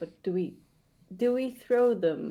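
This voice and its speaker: A woman with a non-native accent speaks at a very slow pace. Her tone is dark and mellow, with vocal fry. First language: not English. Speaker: tabletop role-playing game player. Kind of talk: casual chat.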